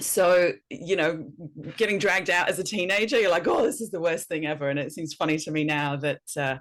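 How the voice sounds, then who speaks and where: With a slight Welsh accent, the speaker moves at a fairly quick pace and uses lively intonation. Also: woman, fairly low pitch for a woman. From north Wales. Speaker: educator and speaker. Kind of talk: podcast interview.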